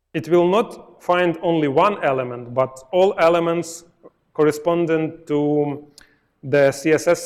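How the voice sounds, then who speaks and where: Ordinary pitch variation in a Ukrainian accent. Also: man. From Ukraine. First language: Ukrainian or Russian. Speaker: software testing speaker. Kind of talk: live coding talk at a meetup. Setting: meetup presentation with audience. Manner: halting, with fillers and self-corrections.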